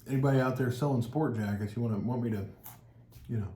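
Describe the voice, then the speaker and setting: Somewhat breathy and dark, mellow in tone, a man races at a very fast pace with fairly even intonation amid audible room echo. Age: 40s. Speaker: cheese tasting channel host. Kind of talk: casual chat.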